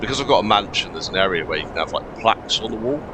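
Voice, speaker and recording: With an English accent, a man speaks against noticeable background noise. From England. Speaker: gaming streamer. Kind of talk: live gameplay commentary. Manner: casual with many fillers.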